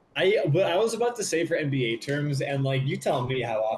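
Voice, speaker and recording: Noticeable background noise sits behind a man speaking at a very fast pace. His pitch is fairly high. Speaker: podcast co-host. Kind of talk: casual chat. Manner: animated.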